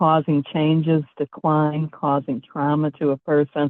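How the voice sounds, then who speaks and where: This woman's voice is very deep and low, and her delivery is fairly slow. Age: 70s. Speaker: presenter on aging and environments. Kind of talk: webinar presentation. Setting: live-streamed webinar.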